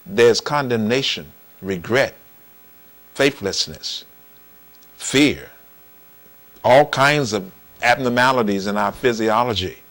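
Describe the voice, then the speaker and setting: A man talking at a fairly slow pace. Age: 60s. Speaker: preacher. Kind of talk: sermon. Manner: animated.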